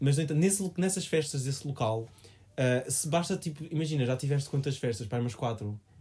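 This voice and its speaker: Fairly quick and with hardly any pauses, a man speaks in a dark, mellow, somewhat breathy voice of fairly high pitch, with ordinary pitch variation. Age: 20s. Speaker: podcast co-host. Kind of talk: casual chat.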